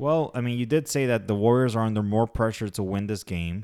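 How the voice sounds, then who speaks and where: In a normal speaking voice, a man talks with ordinary pitch variation. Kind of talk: live commentary over the game, play-by-play with banter. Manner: fast, excitable, calling plays and scores in quick bursts.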